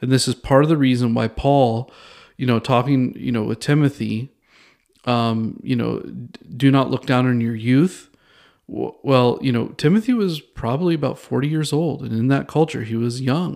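A plain, everyday voice belongs to this man, pitched in the medium range. His speech holds a moderate pace and ordinary pitch variation. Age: 40s. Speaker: podcast host teaching theology. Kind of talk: solo teaching podcast on Bible study. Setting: recording alone in a bathroom at a bistro table. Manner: casual with frequent fillers and restarts.

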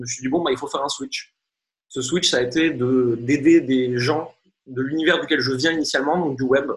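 Somewhat breathy and at a medium pitch, a man talks at a fairly quick pace with ordinary pitch variation. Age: 30s. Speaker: marketing coach and entrepreneur. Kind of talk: interview.

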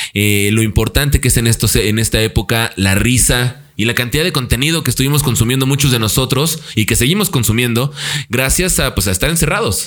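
A man at a fairly quick pace in a normal speaking voice with ordinary pitch variation. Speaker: podcast host. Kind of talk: casual chat.

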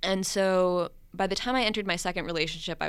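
There is audible room echo as a woman talks with an American accent. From Minnesota. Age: 20s. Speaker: communications professional and aspiring novelist. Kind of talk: casual interview.

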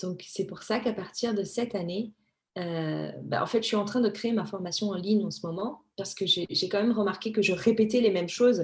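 A woman speaks at a moderate pace and medium pitch, her voice somewhat breathy and her intonation fairly even. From Madagascar, moved to France at 15. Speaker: image consultant. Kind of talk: interview.

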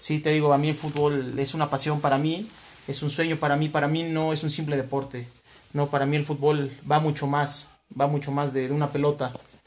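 Somewhat breathy and fairly high-pitched, a man speaks at a fairly quick pace with monotone, flat intonation. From Mexico, Huamantla, Tlaxcala. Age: 30s. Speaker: entrepreneur, restaurant owner. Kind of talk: interview.

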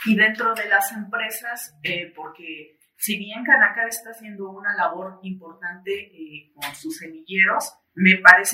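A woman's plain, everyday voice at a medium pitch and a fairly slow pace. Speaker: journalist interviewer. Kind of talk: interview. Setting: studio.

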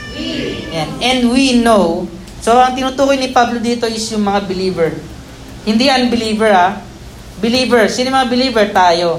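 Background noise can be noticed throughout. The talking proceeds at a moderate pace. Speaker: pastor. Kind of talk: sermon. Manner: animated.

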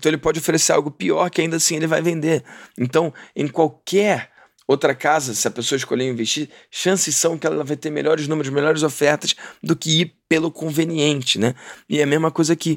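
In a dry, close recording with no echo, a man with an unremarkable speaking voice talks at a fairly quick pace, his fairly high pitch held in a fairly even intonation. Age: 30s. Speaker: podcast host. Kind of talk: casual interview chat. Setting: remote call from Orlando.

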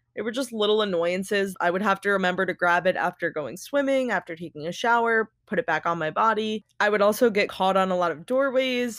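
A woman with a plain, everyday voice talks at a medium pitch with ordinary pitch variation and a fairly quick pace, hardly pausing, in a dry, close sound with no echo on a very clean recording with a silent background. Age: 20s. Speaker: podcast co-host, type one diabetic. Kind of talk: casual chat.

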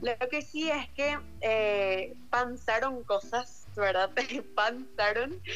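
A woman speaks very slowly at a very even loudness. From Paraguay, Luque. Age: 18. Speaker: university applicant sharing experience. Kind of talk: casual chat.

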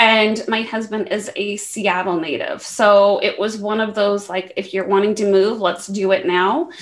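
Over noticeable background noise, a woman with an American accent speaks fairly slowly in a fairly high pitch. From US West, Las Vegas. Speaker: tech program manager. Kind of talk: casual chat.

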